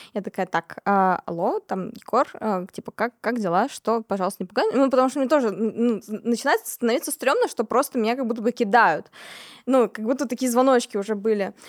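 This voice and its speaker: A woman speaks at a fairly quick pace in an ordinary speaking voice, fairly high in pitch with ordinary pitch variation. The sound is dry and close with no echo, on a very clean recording with a silent background. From Siberia, Kemerovo. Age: 20s. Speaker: singer-songwriter. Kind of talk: casual interview.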